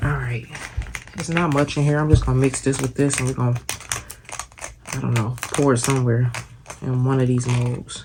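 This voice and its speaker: Soft-spoken delivery at a fairly quick pace, long, frequent pauses and noticeable background noise. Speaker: crafting YouTuber. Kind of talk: tutorial. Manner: casual, chatty.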